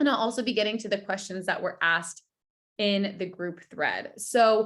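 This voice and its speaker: A woman speaks at a medium pitch and a fairly slow pace. Her tone is animated. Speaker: wellness coach. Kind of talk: online workshop.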